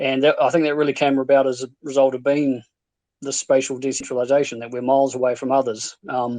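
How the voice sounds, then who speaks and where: Monotone and flat, a man speaks at a medium pitch in a New Zealand accent. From New Zealand, Invercargill, South Island. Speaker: stake pool operator. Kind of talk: casual chat. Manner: halting.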